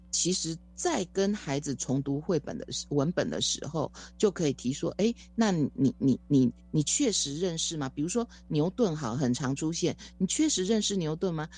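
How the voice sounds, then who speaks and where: Against a quiet background, a dark, mellow voice moves at a moderate pace with lively intonation. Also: woman, very deep, low pitch for a woman. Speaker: education professor. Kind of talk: interview.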